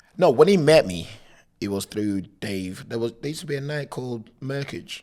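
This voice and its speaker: A loud man's voice at a medium pitch, with very wide pitch swings and a moderate pace. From Africa. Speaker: DJ and content creator. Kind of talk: casual interview chat. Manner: loud, animated.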